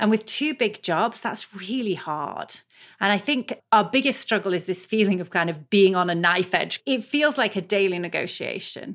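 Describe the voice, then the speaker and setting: The delivery has lively intonation at a moderate pace, captured in a very clean recording with a silent background. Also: woman, medium pitch for a woman. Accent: British. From UK. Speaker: business school professor and researcher. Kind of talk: interview.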